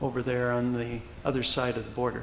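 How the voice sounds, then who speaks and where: The speaker is a man at medium pitch. Noticeable background noise is present. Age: 60s. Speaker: retired teacher and amateur actor. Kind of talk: panel discussion. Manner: halting, many fillers.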